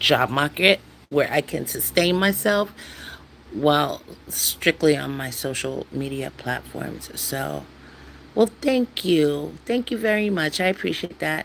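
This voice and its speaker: A woman's very deep, low voice at a very slow pace, with lively intonation. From USA. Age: 60s. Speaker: YouTuber. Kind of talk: casual live stream chat. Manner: halting, repetitive.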